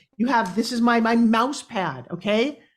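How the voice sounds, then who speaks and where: An animated, somewhat breathy woman's voice at a fairly high pitch, on a very clean recording with a silent background. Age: 60s. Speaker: business coach and pitch expert. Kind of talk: podcast interview.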